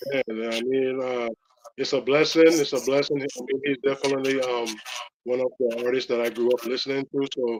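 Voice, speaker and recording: A man at a medium pitch with a slight Belizean accent, a fairly quick pace and monotone, flat intonation. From Belize, Belize City. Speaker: rapper. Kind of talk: interview. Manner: halting, many fillers.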